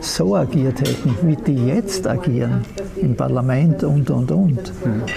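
Very slow speech with very wide pitch swings and very even loudness comes through noticeable background noise. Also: man, medium pitch for a man. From Austria, Graz (Styria). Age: 80s+. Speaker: former mayor. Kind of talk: interview, personal recollection. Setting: outdoors on town square, then moved indoors. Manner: halting, many fillers.

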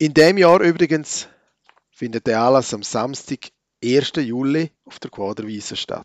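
A man with a normal speaking voice talks at a fairly slow pace and medium pitch, with lively intonation and big swings in loudness, in a dry, close sound with no echo. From Switzerland, Graubünden (Chur). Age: 40s. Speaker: church podcaster / preacher. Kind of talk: reflective monologue, sermon-like.

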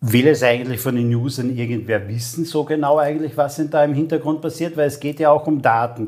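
Fairly high in pitch, a man talks at a fairly quick pace with fairly even intonation in a normal speaking voice. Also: hardly any pauses. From Austria, Carinthia (Lavant valley). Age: 50s. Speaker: podcast host, storytelling expert. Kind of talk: interview.

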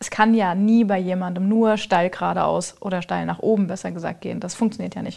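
The woman has a normal speaking voice of medium pitch, moving at a fairly quick pace with fairly even intonation. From Lower Franconia, Germany. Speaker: business founder. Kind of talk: casual chat.

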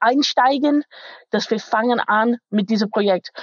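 Ordinary pitch variation from a woman with a high voice, at a fairly slow pace. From England, Manchester. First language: English (speaking German). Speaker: IT company manager. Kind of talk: interview. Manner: halting, non-native German.

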